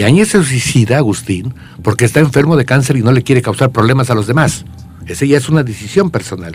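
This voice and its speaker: Noticeable background noise sits under this recording. A man at a medium pitch talks at a very fast pace, his pitch swinging very widely. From Querétaro, Mexico. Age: 70s. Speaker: poet and songwriter. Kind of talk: radio interview.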